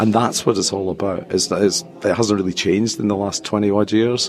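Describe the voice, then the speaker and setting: Over music in the background, someone talks at a fairly quick pace in a Scottish accent. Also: man. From Scotland. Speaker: tech company executive. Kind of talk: interview. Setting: conference venue. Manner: hesitant, many fillers.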